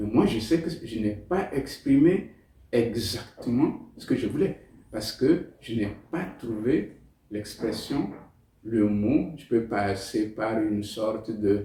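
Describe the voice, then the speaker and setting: Using a Togolese accent, a man speaks at a very slow pace in a dark, mellow, somewhat breathy tone, at a medium pitch with ordinary pitch variation. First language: Tem (speaking French). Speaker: novelist. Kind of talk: interview. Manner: hesitant, with fillers.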